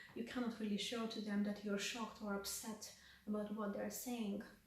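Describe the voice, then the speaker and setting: Flat, monotone intonation comes through audible room echo and noticeable background noise. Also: woman. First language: Russian. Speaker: counselling student and vlogger. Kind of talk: reflective vlog.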